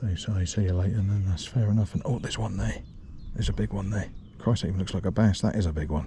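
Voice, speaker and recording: Whispering, a man speaks at a very fast pace. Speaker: angling vlogger. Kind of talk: outdoor fishing vlog. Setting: outdoors.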